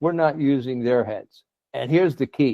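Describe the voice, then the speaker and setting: A man talks in an unremarkable speaking voice at a moderate pace with ordinary pitch variation. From USA. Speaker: leadership specialist. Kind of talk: conference talk.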